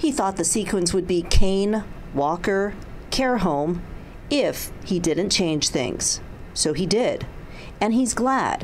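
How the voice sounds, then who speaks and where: A very slow pace with long, frequent pauses. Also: woman, medium pitch for a woman, lively intonation. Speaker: TV news reporter. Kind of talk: TV news report.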